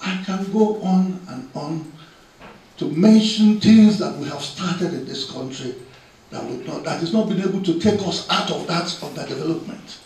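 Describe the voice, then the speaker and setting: A man's high-pitched voice with ordinary pitch variation and big swings in loudness, amid noticeable background noise and audible room echo. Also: moderate pace. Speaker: public speaker at a memorial. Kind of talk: formal speech. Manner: halting.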